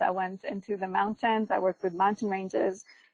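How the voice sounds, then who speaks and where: The sound is dry and close, with no echo, as a woman of medium pitch speaks at a moderate pace. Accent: Ugandan. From Uganda. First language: Luganda. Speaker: GIS and remote sensing researcher. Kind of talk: webinar presentation. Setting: online webinar. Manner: frequent fillers and hesitations.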